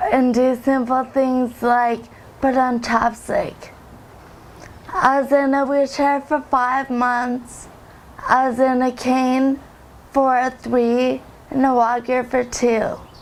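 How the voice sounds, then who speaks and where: A woman with a high voice speaks very slowly in a flat monotone, her loudness very even and her speech broken by long, frequent pauses. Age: 20s. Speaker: recovering drug user. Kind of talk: testimony.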